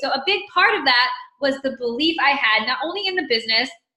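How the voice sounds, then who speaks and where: With an American accent, a high-pitched woman speaks at a fairly quick pace in an animated tone with lively intonation, amid audible room echo. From US South, Mississippi. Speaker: fitness business coach. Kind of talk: motivational team talk. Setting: team conference call.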